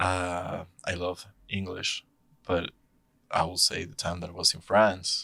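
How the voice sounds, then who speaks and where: A man speaks with a Spanish accent at a fairly slow pace. The recording is very clean, with a silent background. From Mexico City, Mexico. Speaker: touring musician, guitarist. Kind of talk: casual interview chat. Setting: studio. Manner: halting, with frequent repetitions.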